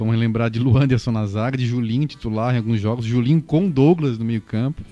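With music in the background, a man talks at a fairly quick pace and a medium pitch, with ordinary pitch variation. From Brazil, Florianópolis. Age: 30s. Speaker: football stats commentator. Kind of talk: casual chat.

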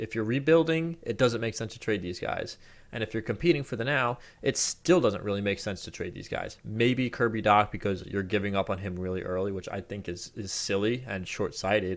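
The recording is very clean, with a silent background. A man with an ordinary speaking voice talks fairly quickly at a fairly low pitch, with ordinary pitch variation. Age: 20s. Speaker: hockey podcast host. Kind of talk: solo sports commentary podcast.

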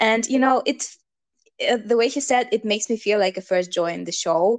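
A woman speaks with a non-native accent. Her voice is fairly high in pitch. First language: not English. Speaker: podcast co-host. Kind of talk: casual discussion.

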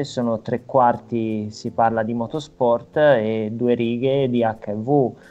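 This man has a medium pitch and fairly even intonation. It is an unremarkable speaking voice. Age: 30s. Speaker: financial operator living with HIV, documentary subject. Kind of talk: casual chat.

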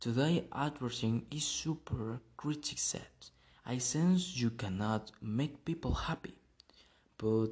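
At a fairly slow pace, the speaker talks in a Spanish accent. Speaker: podcast host. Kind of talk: monologue. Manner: halting.

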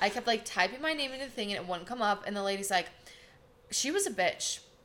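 Music plays in the background as a woman with an American accent speaks with ordinary pitch variation. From US Midwest, Wisconsin. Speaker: esthetician and instructor, podcast co-host. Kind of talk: casual chat. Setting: studio.

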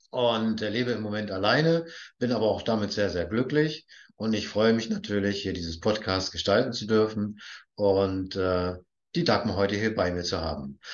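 Speaking at a moderate pace, a man uses an ordinary speaking voice with fairly low pitch and ordinary pitch variation. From northern Germany, Baltic coast. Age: 50s. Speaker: podcast host. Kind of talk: interview.

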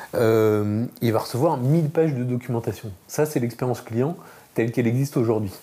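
A man speaks at a moderate pace and medium pitch with ordinary pitch variation. His tone is dark and mellow, and somewhat breathy. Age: 40s. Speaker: insurance startup founder. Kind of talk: interview.

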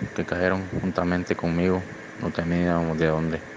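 The man's pitch is very deep and low, and his pace is moderate. Noticeable background noise can be heard. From Honduras. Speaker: migrant. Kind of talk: testimony. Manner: halting.

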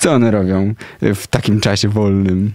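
The speaker is a man with a fairly low pitch. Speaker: radio host. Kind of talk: casual interview chat. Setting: radio studio.

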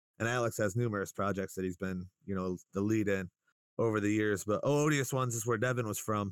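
A man talks at a fairly quick pace with an American accent in a plain, everyday voice. His pitch varies in an ordinary way, and the sound is dry and close with no echo. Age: 30s. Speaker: local rapper and musician. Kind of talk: casual interview chat. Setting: video call. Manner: laid-back, profane.

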